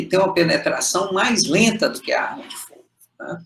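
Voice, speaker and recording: A man's bright, sharp tone comes through at a moderate pace. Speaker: medical lecturer. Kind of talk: lecture.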